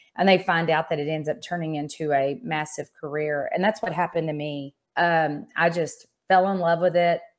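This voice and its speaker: The recording is very clean, with a silent background. A woman with a plain, everyday voice speaks at a moderate pace with a fairly low pitch and fairly even intonation. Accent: American. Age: 50s. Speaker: insurance executive and business coach. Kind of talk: interview.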